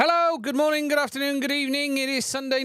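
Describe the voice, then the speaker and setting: A man speaks with a British accent on a very clean recording with a silent background. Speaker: tech channel host. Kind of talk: live stream news and Q&A.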